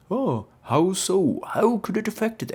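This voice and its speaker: This man puts on a character voice, speaking at a fairly slow pace with a high pitch and lively intonation. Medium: read story. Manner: dry, deadpan.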